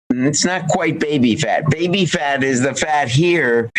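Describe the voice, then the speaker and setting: The delivery comes at a fairly slow pace with ordinary pitch variation. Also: man. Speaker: physician and wellness author. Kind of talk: interview. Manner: animated.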